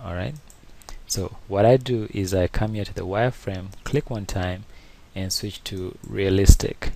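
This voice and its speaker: Fairly low and dark, mellow in tone, a man's voice moves at a fairly slow pace with ordinary pitch variation and big swings in loudness. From Uganda, East Africa. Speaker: 3D artist and animator. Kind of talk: software tutorial. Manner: halting, many fillers.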